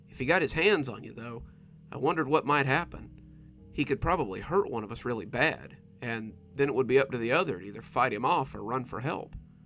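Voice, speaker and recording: Music plays behind a man speaking at a medium pitch. His intonation is lively and his pace fairly quick. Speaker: horror story narrator. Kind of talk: scary story reading.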